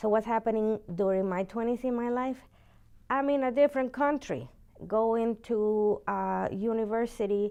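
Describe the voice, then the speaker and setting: At a fairly slow pace, a woman speaks in a fairly high pitch with a dark, mellow tone and fairly even intonation. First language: Spanish. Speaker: university teacher. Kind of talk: interview. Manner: halting.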